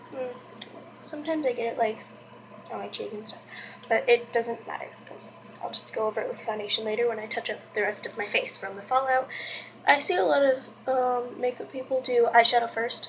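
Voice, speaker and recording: A woman talks at a fairly quick pace in a high pitch, with ordinary pitch variation, big swings in loudness, and long, frequent pauses. Noticeable background noise runs underneath. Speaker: beauty vlogger. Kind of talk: makeup tutorial. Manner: casual, chatty; quiet while doing liner.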